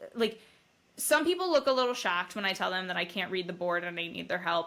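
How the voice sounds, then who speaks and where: A woman's voice has a bright, sharp tone. Her pitch swings very widely. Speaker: brain injury survivor. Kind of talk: casual chat. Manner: stutters when talking fast.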